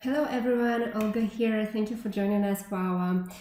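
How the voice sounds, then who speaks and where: In a Russian accent, a woman speaks at a medium pitch with ordinary pitch variation, and audible room echo surrounds her voice. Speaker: tech company representative, conference speaker. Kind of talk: conference talk.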